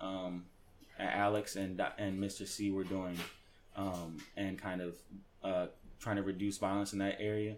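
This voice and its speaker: Flat and monotone, a man's voice sits at a fairly low pitch. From Baltimore. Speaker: college student athlete. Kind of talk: interview. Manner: hesitant, many fillers.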